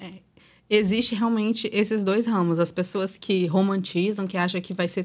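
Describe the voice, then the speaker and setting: In a very clean recording with a silent background, a woman with an unremarkable speaking voice talks at medium pitch and a moderate pace, her intonation fairly even. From Espírito Santo, Brazil. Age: 20s. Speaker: social media influencer and mother of four. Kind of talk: casual podcast chat.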